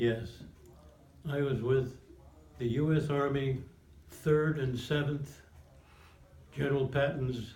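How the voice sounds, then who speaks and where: A man with a fairly high pitch and a somewhat breathy voice speaks at a very slow pace with long, frequent pauses and monotone, flat intonation. Audible room echo surrounds him. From New Jersey (Montclair). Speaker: war veteran. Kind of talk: oral history interview.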